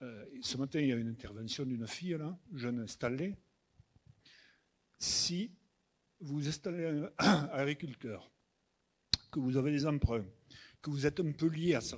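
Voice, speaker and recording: With long, frequent pauses, a man speaks at a fairly slow pace, his fairly high voice carrying lively intonation. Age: 60s. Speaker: farmer. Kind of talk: panel Q&A answer.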